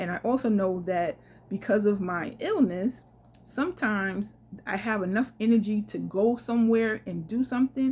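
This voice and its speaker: Somewhat breathy, a woman with a fairly high pitch talks at a moderate pace with ordinary pitch variation. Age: 50s. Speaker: solo traveler and travel vlogger. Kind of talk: casual storytelling to camera.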